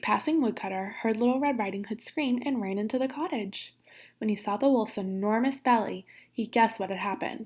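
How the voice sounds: In a natural reading voice, the pitch shifts by ordinary amounts.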